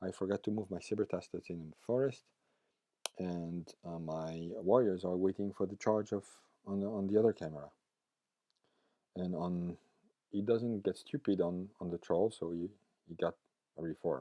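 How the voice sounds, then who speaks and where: In a French accent, a man with a very deep, low pitch and a dark, mellow tone speaks at a moderate pace with ordinary pitch variation and long, frequent pauses, in a dry, close sound with no echo. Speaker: tabletop gaming YouTuber. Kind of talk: battle report narration. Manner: halting, many fillers.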